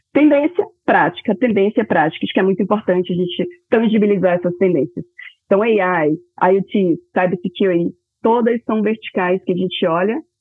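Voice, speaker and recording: This is a plain, everyday voice at a moderate pace. Its pitch variation is ordinary. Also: woman, medium pitch for a woman. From Bahia, Brazil (Salvador). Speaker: corporate venture capital executive. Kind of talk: interview.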